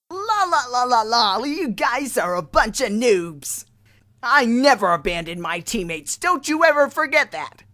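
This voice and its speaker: This put-on character voice sits at a fairly high pitch and moves at a moderate pace. Its pitch swings very widely. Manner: brash, mocking.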